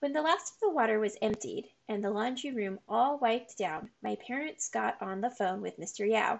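The speaker uses a natural reading voice.

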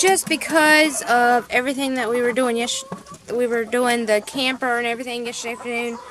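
A woman speaks with a high pitch. The sound is dry with no echo, though background noise is noticeable. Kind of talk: casual vlog chat. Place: garden. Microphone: phone near.

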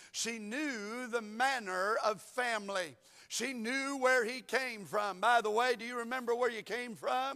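A man speaks in a raised, projected voice with a Southern US accent, at an extremely high pitch and a fairly slow pace. His tone is bright and sharp, the intonation fairly even, and the background quiet. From US South. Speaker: pastor. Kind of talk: sermon. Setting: church. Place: church. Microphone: lapel.

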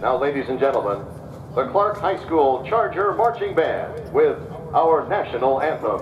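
Background noise is noticeable in this clip. A man speaks over it at a moderate pace. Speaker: high school football PA announcer. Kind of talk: stadium pregame announcement. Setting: stadium PA system. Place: stadium.

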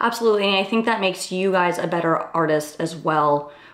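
A woman's fairly quick speech amid audible room echo. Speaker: interview host. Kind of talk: interview question and chat. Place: studio.

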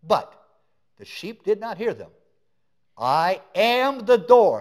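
A man talks fairly slowly, and the background stays quiet. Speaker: preacher. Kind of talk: sermon. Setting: church. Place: church.

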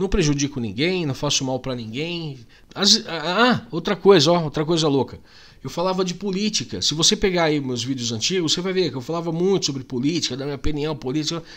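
A man talks at a fairly quick pace in a fairly high pitch. His intonation is lively. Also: quiet background. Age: 40s. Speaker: YouTuber. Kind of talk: casual vlog monologue. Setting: home. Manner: animated. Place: home room. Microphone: studio mic.

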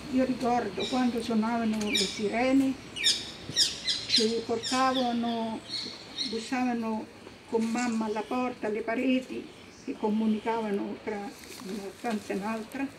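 A woman with monotone, flat intonation, a fairly slow pace and long, frequent pauses over noticeable background noise. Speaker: witness. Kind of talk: personal testimony speech. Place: street.

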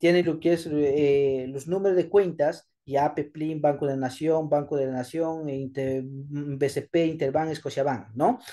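A man at a very slow pace with hardly any pauses, a dark, mellow tone, and fairly even intonation, over a quiet background. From Peru, Áncash (Chimbote). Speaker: schoolteacher. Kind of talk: tutorial. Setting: screen recording at computer. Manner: halting.

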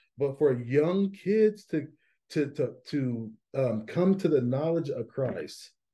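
Over a quiet background, a man speaks at a very slow pace, somewhat breathy, with a dark, mellow tone. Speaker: pastor. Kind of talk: casual podcast conversation. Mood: warm, enthusiastic. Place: meeting room. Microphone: webcam.

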